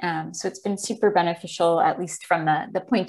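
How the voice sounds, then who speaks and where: A woman speaks at a moderate pace with fairly even intonation against a quiet background. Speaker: presenter. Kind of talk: presentation talk on video call. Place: home room. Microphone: earbuds.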